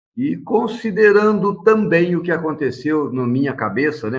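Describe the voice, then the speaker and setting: This is a man's voice. It carries vocal fry throughout. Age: 60s. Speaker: lawyer and council candidate. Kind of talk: interview. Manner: casual, with frequent fillers.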